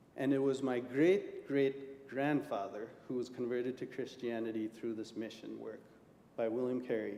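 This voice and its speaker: A man speaks at a moderate pace with a medium-pitched voice. His intonation stays fairly even, and the room gives an audible echo. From India. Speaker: lay preacher. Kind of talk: sermon. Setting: church.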